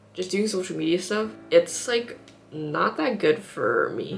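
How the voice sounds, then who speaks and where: A woman with an American accent at a fairly slow pace, music playing in the background. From US Northeast, Boston. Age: 20s. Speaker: vlogger. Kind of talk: casual vlog talk. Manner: casual, filler-heavy.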